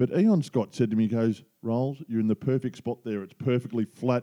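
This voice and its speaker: A man's dark, mellow voice at medium pitch, fairly quick, with an Australian accent, dry and close with no echo. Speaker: podcast co-host, amateur golfer. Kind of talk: casual chat.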